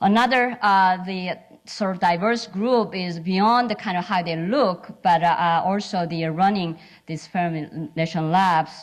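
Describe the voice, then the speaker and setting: Speaking at a fairly slow pace, a woman with a medium pitch has a strong Korean accent. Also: ordinary pitch variation. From South Korea. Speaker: physicist and lab scientist. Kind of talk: symposium panel talk. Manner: halting, many fillers.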